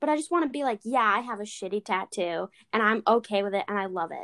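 On a very clean recording with a silent background, a woman talks at a fairly quick pace. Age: young. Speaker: podcast co-host. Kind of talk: casual chat.

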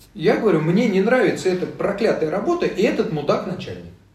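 A man with a high pitch sounds animated, with lively intonation. Audible room echo surrounds his voice. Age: 60s. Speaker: philosophy discussion group leader. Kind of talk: casual interview. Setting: studio, face to face. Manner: animated, with rhetorical questions.

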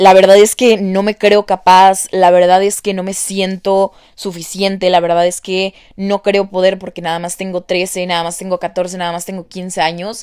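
A woman speaks at a moderate pace with a medium pitch. Her intonation is flat and monotone, while her loudness swings widely. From Mexico. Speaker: podcast host. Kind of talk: casual monologue.

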